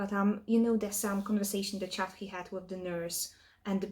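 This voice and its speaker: With a non-native accent, a woman speaks at medium pitch and a moderate pace. Her tone is dark and mellow and somewhat breathy. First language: not English. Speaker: reaction video host. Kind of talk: review commentary; casual chat. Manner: halting.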